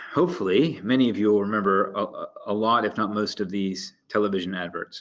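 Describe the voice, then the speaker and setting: In an American accent, a man talks at a fairly low pitch. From United States. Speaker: marketing strategy director. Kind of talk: webinar presentation. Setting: online webinar. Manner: halting, many fillers and repeats.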